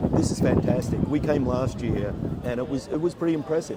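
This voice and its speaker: Someone with an American accent speaks at a fairly quick pace with ordinary pitch variation over noticeable background noise. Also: man. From Australia. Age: 60s. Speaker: motorcycle builder and judge. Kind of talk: casual interview.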